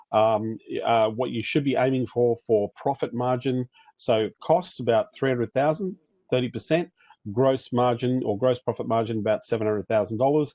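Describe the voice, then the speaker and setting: Medium-pitched male speech in an Australian accent. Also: ordinary pitch variation. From Australia (Queensland). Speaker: business coach for agency owners. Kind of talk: online training webinar. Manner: fast.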